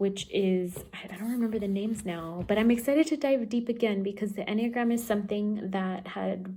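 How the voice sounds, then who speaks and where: A woman's enthusiastic, fairly quick delivery with a slight Spanish accent, medium pitch, ordinary pitch variation, hardly any pauses, and noticeable background noise. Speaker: book vlogger and tarot reader. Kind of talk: casual chat.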